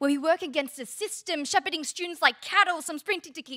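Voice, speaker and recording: Against a quiet background, a woman with an Australian accent speaks in a raised, projected voice. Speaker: spoken word poet. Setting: stage with audience. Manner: impassioned and building in intensity, rising to a rallying call; wry comic timing, pausing for laughs after ironic lines. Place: stage. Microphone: handheld.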